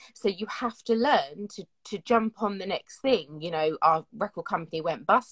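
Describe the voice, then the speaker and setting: A somewhat breathy woman at a medium pitch speaks at a moderate pace with lively intonation and big swings in loudness, the sound dry and close with no echo. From South London, England. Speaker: singer. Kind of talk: interview.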